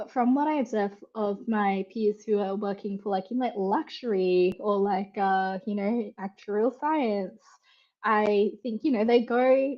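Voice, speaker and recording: A woman's fairly high voice in an Australian accent, at a fairly slow pace with ordinary pitch variation. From Western Australia. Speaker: conversion rate optimisation consultant. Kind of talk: casual chat.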